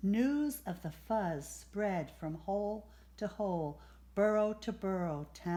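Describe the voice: The pitch shows ordinary variation throughout this plain reading aloud.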